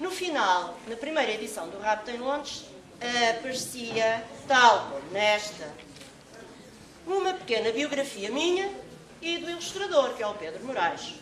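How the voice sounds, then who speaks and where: Over noticeable background noise and audible room echo, a woman speaks in a high pitch with very wide pitch swings. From Portugal (Caldas da Rainha). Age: 60s. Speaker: children's author and English teacher. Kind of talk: talk to school students.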